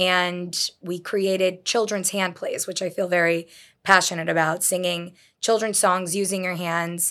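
A woman speaks in a flat monotone at a medium pitch and a fairly slow pace. Her tone is bright and sharp, and the recording is very clean with a silent background. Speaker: children's music entertainer and business founder. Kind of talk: interview.

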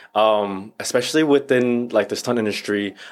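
A man's plain, everyday voice with an American accent, fairly low in pitch, with ordinary pitch variation. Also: very clean recording, silent background. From Northern Virginia. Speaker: actor and stuntman. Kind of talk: casual chat.

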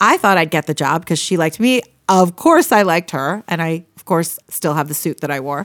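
In an American accent, a woman with an ordinary speaking voice talks at a fairly low pitch with ordinary pitch variation and big swings in loudness, recorded very cleanly against a silent background with a dry, close sound and no echo. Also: fairly quick pace. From Pennsylvania. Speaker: public speaking coach and author. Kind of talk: casual interview chat. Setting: studio.

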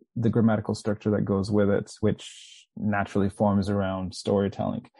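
A man's fairly low voice with a dark, mellow tone, monotone and flat, at a moderate pace against a quiet background. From Manchester, England. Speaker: author and public speaker. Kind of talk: casual interview chat.

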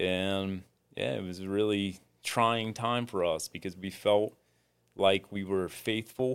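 Very slowly and with fairly even intonation, a man with a fairly low pitch speaks in an American accent. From US Midwest (rural southeastern Ohio). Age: 40s. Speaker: former athlete and bull rider. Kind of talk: interview testimony.

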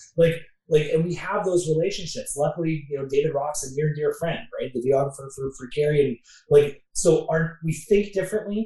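A man with a Canadian accent speaks at a fairly quick pace in a high pitch. His tone is dark and mellow, with ordinary pitch variation. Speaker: mortgage company president. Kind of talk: casual interview.

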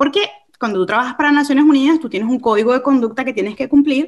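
A woman talks at a very fast pace in a high voice. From Venezuela, Caracas. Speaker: ministry leader. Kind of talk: testimony. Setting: studio.

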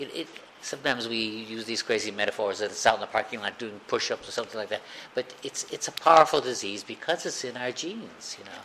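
Speech from a man comes out very fast. There is noticeable noise in the background. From US Midwest, Chicago. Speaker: recovering alcoholic speaker. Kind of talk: recovery meeting talk. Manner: halting.

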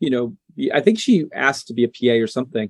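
His intonation lively, a man speaks at a very fast pace. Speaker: filmmaker. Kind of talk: interview chat.

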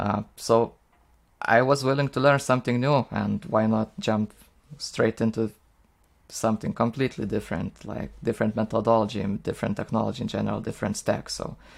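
A man with a Lithuanian accent speaks at a medium pitch. His voice has vocal fry and ordinary pitch variation. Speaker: software engineer. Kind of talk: casual interview. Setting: video call. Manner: halting with frequent repetitions.

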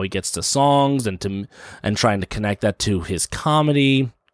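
A man talks at a moderate pace in a plain, everyday voice, with a dry, close sound with no echo on a very clean recording with a silent background. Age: 30s. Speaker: podcast host and stand-up comedian. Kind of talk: casual chat.

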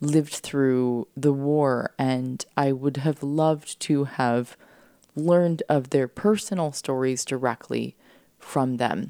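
Speech with a dark, mellow tone moves at a very slow pace with fairly even intonation, the sound dry and close with no echo. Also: woman. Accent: American. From US West Coast (San Diego). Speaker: podcast host, cookbook author. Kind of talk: casual solo podcast monologue. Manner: casual, laughing often.

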